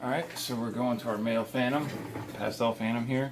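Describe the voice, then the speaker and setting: A man speaks at a fairly low pitch. There is noticeable background noise behind him. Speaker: reptile keeper, channel host. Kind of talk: tutorial. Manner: casual; talking low.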